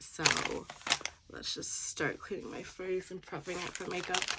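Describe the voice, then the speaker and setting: A woman's fairly low voice comes through with background noise clearly noticeable. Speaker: beauty vlogger. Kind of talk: casual chat. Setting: at home.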